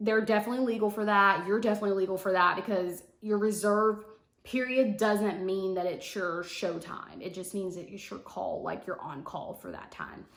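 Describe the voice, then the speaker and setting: A woman with a medium pitch speaks at a moderate pace with hardly any pauses and fairly even intonation. Her loudness swings widely, and audible room echo surrounds her. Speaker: flight attendant vlogger. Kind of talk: casual vlog tutorial.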